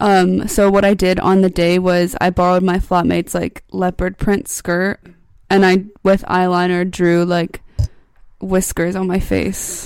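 A woman with a plain, everyday voice speaks at a medium pitch and a fairly slow pace. The recording is very clean, with a silent background. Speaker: university student. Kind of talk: casual chat.

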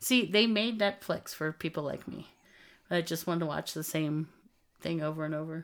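A woman's fairly low-pitched, ordinary speaking voice at a moderate pace, with ordinary pitch variation, on a very clean recording with a silent background. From US South, Texas-Mexico border. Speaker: podcast co-host. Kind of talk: casual chat.

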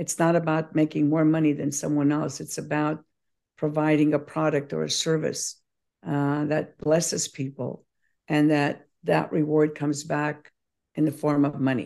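The tone is dark and mellow, with monotone, flat intonation. The background is quiet. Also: woman, very deep, low pitch for a woman, moderate pace. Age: 70s. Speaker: probiotic company founder. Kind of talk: interview.

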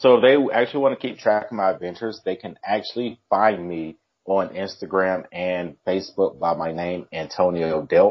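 A man with an American accent, very deep and low in pitch, ordinary pitch variation, a moderate pace and hardly any pauses. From United States. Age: 30s. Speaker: military veteran and solo traveler. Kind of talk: casual interview.

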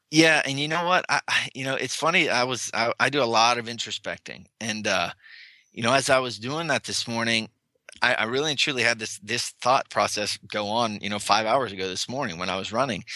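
A man speaks at a fairly quick pace in a bright, sharp tone. His pitch varies in an ordinary way. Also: medium pitch for a man. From Pennsylvania, Hollidaysburg. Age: 30s. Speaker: mixed martial arts fighter and speaker. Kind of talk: interview conversation. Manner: halting, many repetitions.

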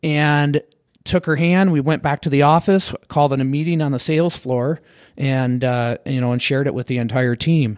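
Speaking with an American accent and an ordinary speaking voice, a man with a fairly high pitch and ordinary pitch variation talks at a moderate pace, the sound dry and close with no echo over a quiet background. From Michigan. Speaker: real estate team leader. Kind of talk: casual interview chat. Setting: studio.

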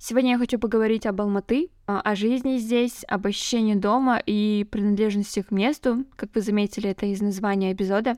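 In a very clean recording with a silent background and a dry, close sound with no echo, a woman with a normal speaking voice talks at a moderate pace and fairly high pitch with ordinary pitch variation. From northern Kazakhstan. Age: 20s. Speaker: podcaster, translator. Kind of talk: solo podcast monologue. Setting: at home.

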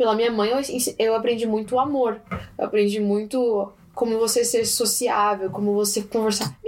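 Over noticeable background noise, a woman with a fairly high pitch talks at a moderate pace, her loudness very even and her intonation fairly even. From Japan and Brazil. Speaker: guest interviewee. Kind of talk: casual interview.

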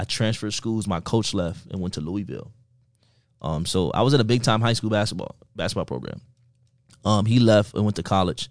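With an American accent, a man of fairly low pitch talks at a fairly quick pace with vocal fry, ordinary pitch variation, and long, frequent pauses, against a quiet background. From Miami, Florida. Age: 20s. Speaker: network and affiliate marketer. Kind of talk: casual interview.

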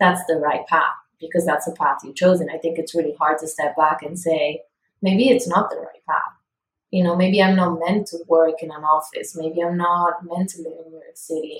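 With an Italian accent, a woman speaks at a moderate pace with fairly even intonation and big swings in loudness. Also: fairly low pitch for a woman. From Italy. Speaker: podcast guest. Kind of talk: casual chat.

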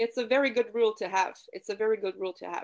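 Here a woman speaks with a Quebec accent. Her pitch is fairly high. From Quebec City, Canada. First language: French. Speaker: communication coach. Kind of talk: casual interview.

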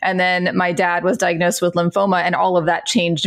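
A woman with an American accent talks at a moderate pace and medium pitch over noticeable background noise. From Central Florida. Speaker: patient advocate, former pharmacist. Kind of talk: interview conversation.

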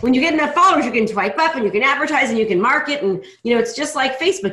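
The intonation is lively. The speaker is a woman. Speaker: podcast host. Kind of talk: casual interview. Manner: fast talker, high energy.

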